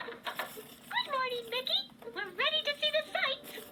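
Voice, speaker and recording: A squeaky, female-sounding put-on character voice, pitched extremely high, at a fairly slow pace over light background noise. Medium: read story.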